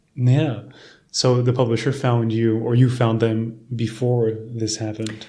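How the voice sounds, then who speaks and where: Somewhat breathy and dark, mellow in tone, a man's medium-pitched voice stays monotone and flat at a fairly slow pace. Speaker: podcast host. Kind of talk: podcast host talk.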